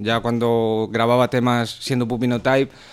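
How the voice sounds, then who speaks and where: A man with a medium pitch at a moderate pace. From Spain. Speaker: rapper. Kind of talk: casual chat. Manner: halting, repeated words.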